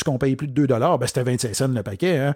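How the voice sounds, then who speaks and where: On a very clean recording with a silent background and a dry, close sound with no echo, a man with a Quebec accent speaks in a dark, mellow tone. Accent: Québécois French. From Quebec, Outaouais (Papineauville). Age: 40s. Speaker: podcast host and business speaker. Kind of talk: solo podcast monologue.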